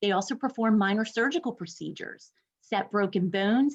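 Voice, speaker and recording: Somewhat breathy, fairly high speech from a woman, with ordinary pitch variation. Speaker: university instructor and program director. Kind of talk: webinar presentation. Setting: online webinar. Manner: fast.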